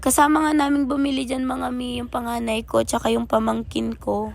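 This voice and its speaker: Keeping a moderate pace, a woman talks while music sounds in the background. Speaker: family vlogger. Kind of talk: vlog narration.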